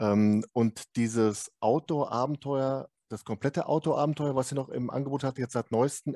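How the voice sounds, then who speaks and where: Heard dry and close with no echo against a quiet background, a man with a medium-pitched, dark, mellow voice speaks at a moderate pace with ordinary pitch variation. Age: 50s. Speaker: podcast host. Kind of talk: casual interview.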